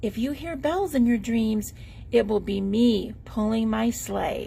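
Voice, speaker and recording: A woman's put-on character voice, fairly high in pitch and fairly slow, with clear background noise. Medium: read story.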